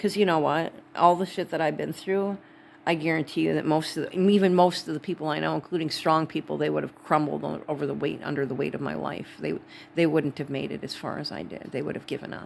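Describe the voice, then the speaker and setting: Words come at a very fast pace from a woman with a Wisconsin accent. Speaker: vlogger. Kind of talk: casual monologue. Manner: rambling, halting.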